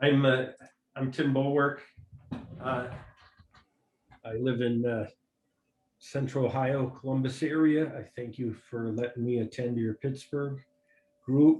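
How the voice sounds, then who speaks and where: With a Wisconsin accent, a man speaks at a medium pitch in a monotone, flat intonation. He leaves long, frequent pauses. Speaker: FileMaker developer and newbie user group attendee. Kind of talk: casual video meeting introduction. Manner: halting, many fillers.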